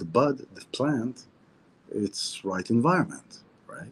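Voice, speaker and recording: A man with an Israeli accent speaks at a fairly slow pace. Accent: Hebrew. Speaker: spiritual teacher. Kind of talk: weekly Torah talk. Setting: outdoors near the sea, video stream. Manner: casual, repetitive and halting.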